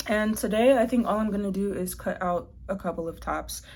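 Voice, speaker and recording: Somewhat breathy and dark, mellow in tone, a woman's voice moves at a fairly quick pace with fairly even intonation. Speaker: fashion designer vlogger. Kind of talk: casual vlog narration. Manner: casual, chatty.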